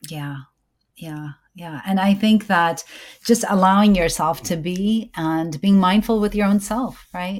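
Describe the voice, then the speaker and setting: Over a very clean recording with a silent background, a woman with an American accent and an unremarkable speaking voice talks at a fairly slow pace, at a medium pitch with ordinary pitch variation and big swings in loudness. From US. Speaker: podcast host and OB-GYN. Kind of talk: casual interview chat.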